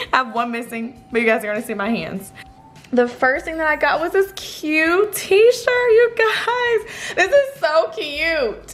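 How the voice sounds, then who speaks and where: A woman speaks at a fairly slow pace with music in the background. Her pitch is extremely high and swings very widely. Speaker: fitness influencer. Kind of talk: product unboxing vlog. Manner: animated.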